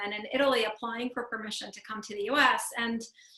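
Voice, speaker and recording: There is noticeable background noise behind this woman. Her pitch is fairly high and her intonation monotone and flat. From former Soviet Union. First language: Russian. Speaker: emotional health speaker and author. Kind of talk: conference talk. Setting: video call. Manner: conversational, many fillers.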